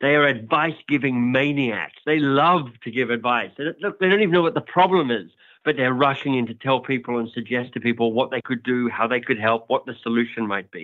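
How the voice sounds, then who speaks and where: This speaker has an Australian accent and ordinary pitch variation. The pace is fairly quick, with hardly any pauses. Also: man, medium pitch for a man. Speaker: author and coaching company founder. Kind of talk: interview.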